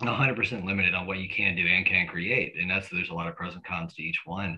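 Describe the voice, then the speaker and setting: A man with an unremarkable speaking voice, fairly low in pitch, at a fairly quick pace. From US South. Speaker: podcast host. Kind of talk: casual interview.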